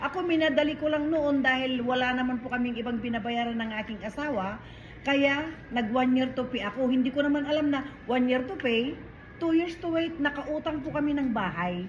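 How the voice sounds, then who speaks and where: Audible room echo colors this woman's voice. She speaks at a high pitch and a fairly quick pace. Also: ordinary pitch variation. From Philippines. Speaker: debt consumer proposal agent. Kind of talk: casual chat. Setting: restaurant.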